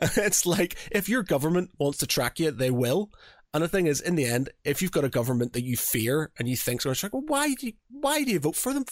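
Speaking fairly quickly in a Northern Irish accent, a man uses a fairly high pitch with very wide pitch swings while his loudness stays very even. The sound is dry and close with no echo, and the recording is very clean against a silent background. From Northern Ireland. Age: 40s. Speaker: podcast host. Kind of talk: casual chat. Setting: home studio.

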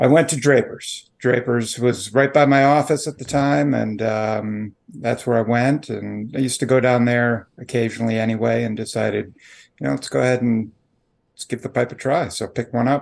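It is an ordinary speaking voice, a man's at medium pitch with ordinary pitch variation. He has an American accent, and the background is quiet. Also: moderate pace. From Chicago area, Illinois. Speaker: lobbyist, pipe smoker. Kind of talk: interview.

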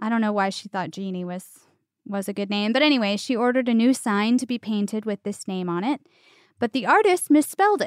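A woman with a plain, everyday voice, fairly high in pitch, at a fairly quick pace on a very clean recording with a silent background. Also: ordinary pitch variation. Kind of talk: mock carnival barker spiel in a casual chat.

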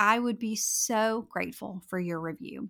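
A woman with a slight Southern US accent and a fairly high pitch is heard on a very clean recording with a silent background. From North Louisiana. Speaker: time management coach, podcast host. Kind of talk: solo podcast episode, conversational advice.

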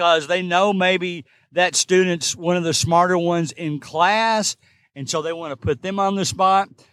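In a Kentucky accent, a man with a high pitch speaks at a fairly slow pace, the sound dry and close with no echo. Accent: Kentucky Southern US. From Kentucky, US. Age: 60s. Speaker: substitute teacher, podcast host. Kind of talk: casual solo podcast monologue. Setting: recording in a parked car or parking garage.

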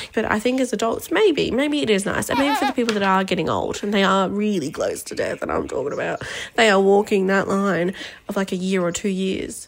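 A woman with a medium pitch and ordinary pitch variation speaks at a fairly quick pace against noticeable background noise. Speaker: listener sending voice memo. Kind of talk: casual voice memo rant. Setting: voice memo recorded during work meeting. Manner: rambling, fast.

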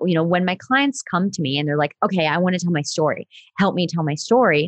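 A woman with an American accent speaks in a plain, everyday voice, fairly low in pitch, at a fairly quick pace. The sound is dry and close, with no echo. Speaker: story coach. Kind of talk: interview conversation.

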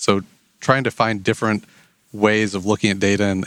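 Speaking at a very fast pace with a Midwestern US accent, a man has a fairly low pitch, and the sound is dry and close with no echo. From Indiana, rural US Midwest. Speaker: enrollment marketing specialist. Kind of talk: interview.

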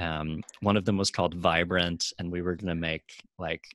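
Against a quiet background, a man with a very deep, low pitch and vocal fry speaks at a fairly slow pace, the sound dry and close with no echo. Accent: American. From Chicago, south side. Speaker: nonprofit marketing entrepreneur. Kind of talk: interview.

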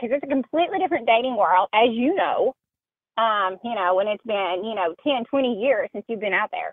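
A woman's pitch swings very widely as she speaks at a moderate pace. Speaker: caller. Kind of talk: call-in conversation. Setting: phone call.

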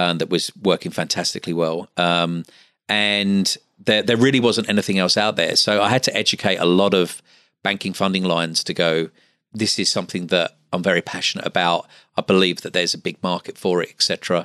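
A man with a slight Australian accent and very deep, low pitch speaks at a fairly quick pace in a bright, sharp tone, recorded dry and close with no echo against a quiet background. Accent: English with slight Australian twang. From Essex, England. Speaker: patient finance business owner. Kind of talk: interview. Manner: halting with many fillers.

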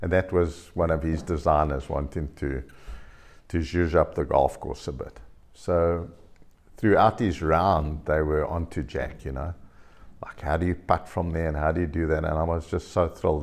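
With vocal fry and a very deep, low pitch, a man speaks at a moderate pace with fairly even intonation. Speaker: golf course design company chairman. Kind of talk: interview storytelling.

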